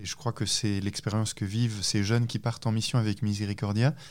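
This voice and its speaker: Fairly low male voice, captured on a very clean recording against a silent background. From France. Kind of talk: testimony. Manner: halting.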